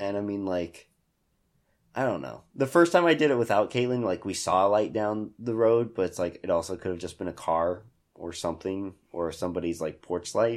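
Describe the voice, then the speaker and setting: In a very clean recording with a silent background, a man with an American accent and a fairly low pitch uses an ordinary speaking voice at a moderate pace with lively intonation. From Hutchinson, Kansas. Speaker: podcast host. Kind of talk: casual chat.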